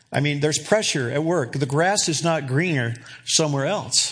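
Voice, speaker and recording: His voice sits fairly high in pitch. Noticeable noise can be heard behind this man. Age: 60s. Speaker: pastor. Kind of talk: sermon. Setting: church.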